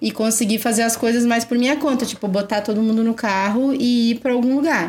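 A woman's fairly high pitch with ordinary pitch variation, over noticeable background noise. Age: 30s. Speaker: English teacher and mother. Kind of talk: casual chat. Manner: clear diction.

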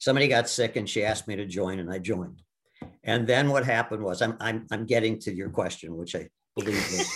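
A man with an American accent talks at a very fast pace with a fairly low pitch. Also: ordinary pitch variation. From US Midwest, Milwaukee. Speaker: Broadway actor. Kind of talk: casual interview. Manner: halting.

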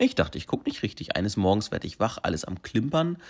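Energetic in tone, a man with a fairly low pitch is heard on a very clean recording with a silent background. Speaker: podcast host. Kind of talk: casual monologue. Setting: at home.

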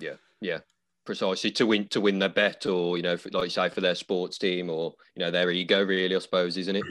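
A man speaks at a very fast pace with a very deep, low pitch. His intonation is monotone and flat against a quiet background. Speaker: podcast host and barber. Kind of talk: casual interview chat. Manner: casual, fillers.

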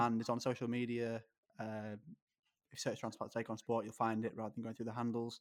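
A man speaks in a monotone at a medium pitch, with an English accent. The recording is very clean, with a silent background. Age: 20s. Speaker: kidney transplant patient and sports podcaster. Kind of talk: interview.

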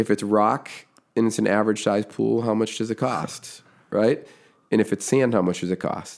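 A man with an unremarkable speaking voice and an American accent, fairly low in pitch, at a moderate pace with fairly even intonation. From Massachusetts (Foxborough, near Boston). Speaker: construction business owner and podcaster. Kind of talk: podcast interview.

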